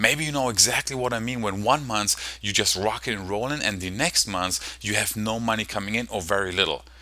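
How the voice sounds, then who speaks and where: In a German accent, the speaker talks at a fairly quick pace with hardly any pauses, using a bright, sharp, animated tone and ordinary pitch variation. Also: man, fairly low pitch for a man. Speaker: online marketing coach. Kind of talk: sales presentation. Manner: fast.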